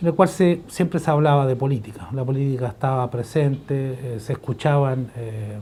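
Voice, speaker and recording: A man's somewhat breathy, dark, mellow voice at a medium pitch, moderate pace, ordinary pitch variation and hardly any pauses. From Chile. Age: 70s. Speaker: historian, professor. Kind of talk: interview testimony. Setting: office. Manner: hesitant, frequent fillers.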